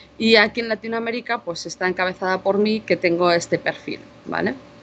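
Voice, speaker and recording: A woman with a Spanish accent at a moderate pace, with ordinary pitch variation. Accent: Spanish (Spain). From Spain. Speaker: cybersecurity intelligence manager, conference speaker. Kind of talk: conference talk. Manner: casual conversational with fillers.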